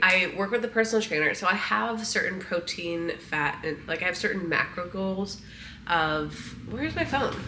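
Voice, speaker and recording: Speaking fairly quickly with a Midwestern American accent, a woman is heard over noticeable background noise and audible room echo. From US Midwest. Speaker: lifestyle vlogger. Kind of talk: casual vlog talk to camera. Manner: casual, conversational.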